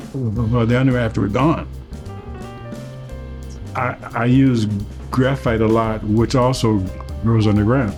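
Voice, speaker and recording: Music plays behind a man with a Southern US accent who speaks at a fairly slow pace. His medium pitch varies in an ordinary way, broken by long, frequent pauses. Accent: Southern American. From Mississippi, US South. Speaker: painter. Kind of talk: interview answer. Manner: stutters.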